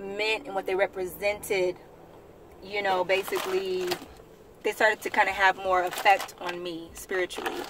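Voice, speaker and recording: Over noticeable background noise, a woman speaks at a fairly slow pace with big swings in loudness. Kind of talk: casual talk to camera. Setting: in a car.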